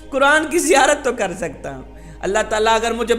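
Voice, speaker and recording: Music plays in the background as a man speaks at an extremely high pitch. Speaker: Islamic preacher. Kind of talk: Islamic sermon (bayan).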